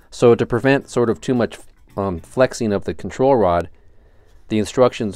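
A man at a moderate pace, fairly even intonation, dry sound with no echo, and a quiet background. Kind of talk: tutorial. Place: workshop. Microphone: phone near.

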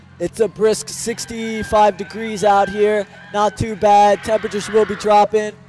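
A man talks at a high pitch. Faint music plays in the background. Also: dry sound with no echo. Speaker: student sports commentator. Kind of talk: commentary.

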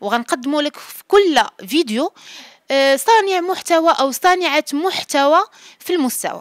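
A woman's extremely high voice at a fairly slow pace, lively in intonation, with big swings in loudness, a dry sound with no echo and a quiet background. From Morocco. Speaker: journalist interviewer. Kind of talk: scripted outro to camera; interview. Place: home room. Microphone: handheld.

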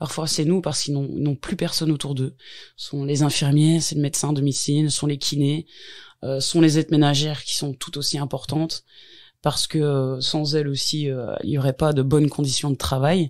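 In a very clean recording with a silent background, a woman with a very deep, low pitch speaks at a moderate pace in a monotone, flat intonation. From Belgium, Hainaut (Tournai area). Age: 40s. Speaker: home care worker. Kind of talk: interview. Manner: hesitant, many fillers.

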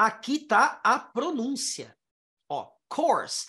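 A man's raised, projected voice with a bright, sharp tone over a quiet background. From Brazil. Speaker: English teacher. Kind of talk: online lesson. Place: home room. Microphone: headset.

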